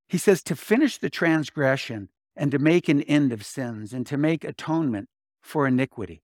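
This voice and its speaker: On a very clean recording with a silent background and a dry, close sound with no echo, a man with an unremarkable speaking voice talks at a moderate pace and fairly high pitch with lively intonation. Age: 60s. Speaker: pastor. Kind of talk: sermon. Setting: church.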